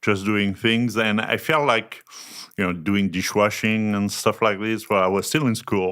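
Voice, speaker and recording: On a very clean recording with a silent background, a man with a French accent speaks at a fairly slow pace, with fairly low pitch and fairly even intonation. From France. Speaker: chef. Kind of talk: casual chat.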